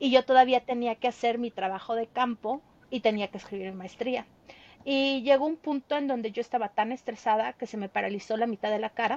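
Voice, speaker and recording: A woman with a Mexican accent talks at a fairly quick pace in a fairly high pitch, her intonation fairly even. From Mexico, State of Mexico. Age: 30s. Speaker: veterinarian and traveler. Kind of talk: storytelling interview.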